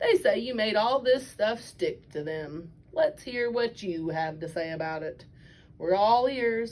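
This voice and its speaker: Using a put-on character voice, a woman speaks at a fairly slow pace. Her pitch swings very widely. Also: fairly high pitch for a woman. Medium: read story.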